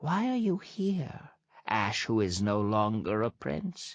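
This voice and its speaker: A man speaks in a put-on character voice, swinging his pitch very widely. He talks at a fairly slow pace against a quiet background. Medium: read story. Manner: sharp, scolding.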